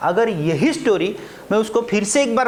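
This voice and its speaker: The speaker has a Marathi accent. Noticeable background noise is present. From Maharashtra, India. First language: Marathi (speaking Hindi). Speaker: spoken English teacher. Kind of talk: classroom lecture. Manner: animated.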